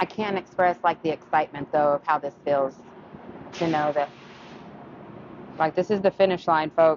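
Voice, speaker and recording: A woman with an American accent speaks at a very deep, low pitch, with long, frequent pauses. Noticeable background noise can be heard. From West Texas. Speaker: auto body painter, shop owner. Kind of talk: casual shop vlog chat. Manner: loud.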